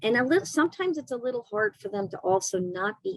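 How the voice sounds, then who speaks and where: A woman at a fairly quick pace, with ordinary pitch variation and a dry, close sound with no echo. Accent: American. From New York City. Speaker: doctor specializing in Lyme disease. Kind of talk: casual interview chat. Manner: animated.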